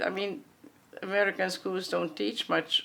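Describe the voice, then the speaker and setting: The speaker has a Hungarian accent. Vocal fry runs through the voice. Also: woman. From grew up in US South and Midwest, Hungarian refugee family. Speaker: Hungarian refugee interviewee. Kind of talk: oral history interview. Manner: hesitant, many fillers and restarts.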